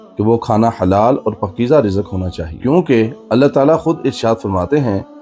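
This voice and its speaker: The intonation is lively, with music playing in the background. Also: man. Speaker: Islamic preacher. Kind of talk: religious sermon (bayan).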